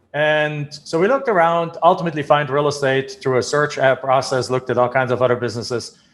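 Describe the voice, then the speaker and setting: A man speaks at a fairly quick pace in a German accent. His fairly high pitch shows ordinary variation. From Germany. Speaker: real estate investor. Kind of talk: podcast interview.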